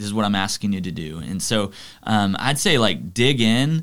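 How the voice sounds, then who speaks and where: A man with a Texan accent, fairly low in pitch, at a moderate pace, on a very clean recording with a silent background. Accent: Texan American English. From Texas, Arlington (Dallas-Fort Worth area). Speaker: youth pastor. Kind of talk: casual chat.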